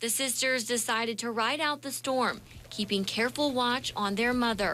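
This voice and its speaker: Against noticeable background noise, a woman with an American accent speaks in a high voice with fairly even intonation. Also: moderate pace. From Philadelphia area, Pennsylvania. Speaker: TV news reporter. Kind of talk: TV news feature narration.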